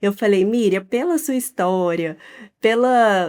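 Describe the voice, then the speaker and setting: A woman with a Minas Gerais accent speaks at a fairly slow pace with ordinary pitch variation, her voice dry and close with no echo on a very clean recording over a silent background. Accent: mineiro. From Minas Gerais, Brazil. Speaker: podcast host. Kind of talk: interview.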